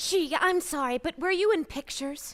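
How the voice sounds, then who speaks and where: Using a put-on character voice, a female-sounding speaker goes at a moderate pace with an extremely high pitch for a woman. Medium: audio drama. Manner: sweet, polite, soothing.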